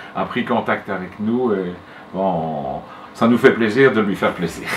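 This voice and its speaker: Noticeable background noise sits under a man talking at a fairly slow pace. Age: 60s. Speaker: retired school headmaster and collector. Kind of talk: interview.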